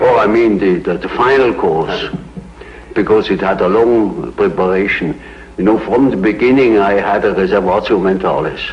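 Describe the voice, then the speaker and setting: With a Swiss German accent, a man speaks at a fairly low pitch against noticeable background noise. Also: ordinary pitch variation, moderate pace. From Switzerland. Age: 80s+. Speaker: psychiatrist. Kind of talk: interview answer.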